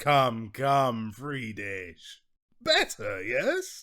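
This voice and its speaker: A man uses a put-on character voice at a medium pitch. The recording is very clean, with a silent background. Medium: read story. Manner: breezy, self-assured.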